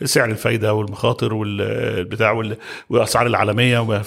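The speaker is a man with a mid-range pitch. He talks at an even, moderate speed. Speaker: construction company chairman. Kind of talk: podcast interview.

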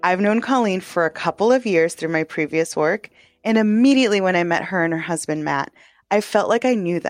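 A woman with an American accent speaks at a moderate pace in a normal speaking voice, with lively intonation. The sound is dry and close with no echo, and the background is quiet. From Texas. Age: 30s. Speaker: podcast host. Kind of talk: scripted narration.

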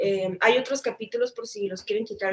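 Speaking at a fairly quick pace with lively intonation, this voice has a northern Mexican accent. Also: woman. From Mexico, Tijuana. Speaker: singer-songwriter. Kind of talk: interview.

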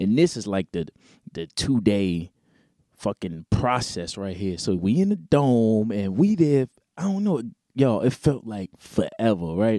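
Lively intonation and a dark, mellow tone in an American accent, fairly slow in pace, on a very clean recording with a silent background and dry, close sound with no echo. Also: man, medium pitch for a man. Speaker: podcast host and independent R&B singer. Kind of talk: casual monologue. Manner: animated, conversational.

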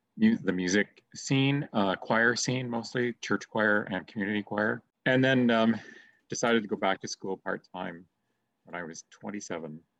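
A man with a Canadian accent and an unremarkable speaking voice, fairly low in pitch, at a moderate pace, with ordinary pitch variation and a dry, close sound with no echo. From Canada, Streetsville (Mississauga), Ontario. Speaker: theater director and retired drama teacher. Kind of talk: interview.

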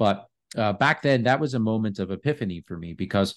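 A man speaks in a normal speaking voice at a fairly low pitch. His intonation is lively, and the background is quiet. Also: dry, close sound with no echo. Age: 30s. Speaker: health company founder and longevity advocate. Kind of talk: interview.

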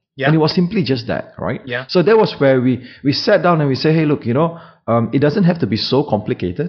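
At a fairly quick pace, a man speaks in a fairly high, somewhat breathy voice with lively intonation. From Southeast Asia. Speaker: technology company co-founder and CEO. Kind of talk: interview. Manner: halting, many fillers.

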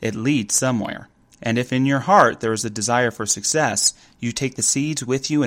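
The passage comes read aloud in a natural voice.

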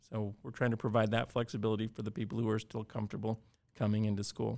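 Speaking very fast with an Alaskan accent, a man at a medium pitch comes through on a very clean recording with a silent background. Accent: Alaskan American. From Alaska (Cordova). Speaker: school superintendent. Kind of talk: interview.

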